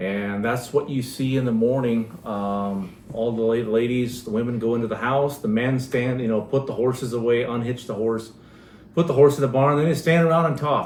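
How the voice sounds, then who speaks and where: There is audible room echo as a man of medium pitch speaks at a moderate pace with fairly even intonation. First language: Pennsylvania Dutch. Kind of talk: casual chat.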